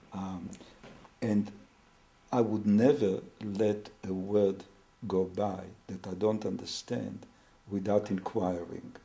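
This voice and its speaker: A man's dark, mellow tone at a fairly low pitch, very slow in pace with long, frequent pauses and fairly even intonation. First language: Hebrew or other non-English. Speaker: family therapist. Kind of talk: interview. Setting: therapy room. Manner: halting.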